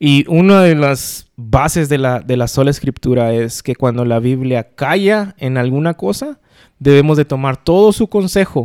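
A man's fairly high-pitched, plain, everyday voice, fairly slow in pace with lively intonation, in a dry, close sound with no echo. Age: 40s. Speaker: podcast co-host. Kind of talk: casual chat.

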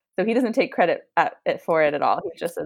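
A woman is speaking. She has an American accent. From United States. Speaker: behavior analyst. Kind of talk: interview.

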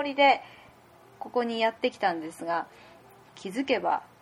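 Moderate in pace, the voice keeps a steady tempo. Its pitch swings very widely. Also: woman. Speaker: podcast host. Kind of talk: casual chat; scripted intro.

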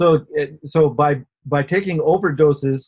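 Somewhat breathy, a man's voice shows ordinary pitch variation. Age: 60s. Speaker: inventor. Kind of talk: interview.

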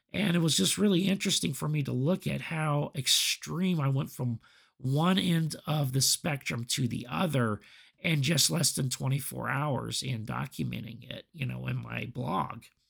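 Speaking at a moderate pace with a medium pitch, a man uses lively intonation. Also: very clean recording, silent background. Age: 40s. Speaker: podcast host. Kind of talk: solo reflective monologue. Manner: halting, many fillers.

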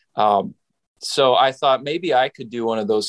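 A man's voice with ordinary pitch variation, dry and close with no echo. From Saskatchewan, Western Canada. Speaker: pastor. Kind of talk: interview.

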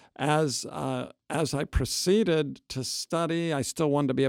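Recorded dry and close with no echo, a plain, everyday voice moves at a fairly slow pace with ordinary pitch variation. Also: man. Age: 60s. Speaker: seminary professor and New Testament scholar. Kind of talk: interview conversation.

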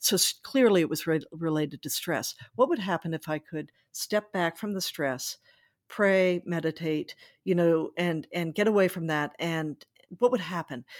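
A woman with an ordinary speaking voice talks at a fairly low pitch, with ordinary pitch variation. The very clean recording has a silent background and a dry, close sound with no echo. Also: moderate pace. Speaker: journalist and author. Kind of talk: interview.

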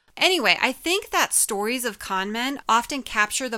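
Speaking at a moderate pace, a woman uses lively intonation and a bright, sharp tone on a very clean recording with a silent background. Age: 40s. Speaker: psychology podcast co-host, doctor. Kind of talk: casual chat.

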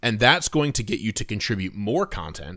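Against a very clean recording with a silent background, a man with an unremarkable speaking voice speaks fairly low in pitch at a fairly quick pace. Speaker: author and content marketing editor. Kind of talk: casual interview chat.

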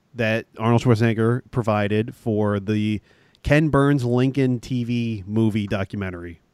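A man at a fairly slow pace and medium pitch with ordinary pitch variation, a plain, everyday voice, and a very clean recording with a silent background. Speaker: podcast co-host. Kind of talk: casual banter, movie discussion.

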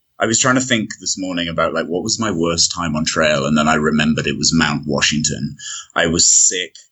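At a fairly quick pace, a man with a British accent talks in a very deep, low pitch with ordinary pitch variation. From Britain. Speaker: long-distance hiker. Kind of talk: casual interview.

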